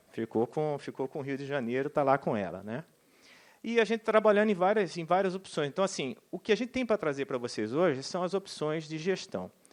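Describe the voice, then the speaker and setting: A man speaks at a fairly quick pace in a fairly high pitch, his voice making very wide pitch swings over a quiet background. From Brazil, Cuiabá, Mato Grosso. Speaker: bank manager for government clients. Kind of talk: panel talk at public forum. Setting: auditorium with audience. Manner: informal, conversational.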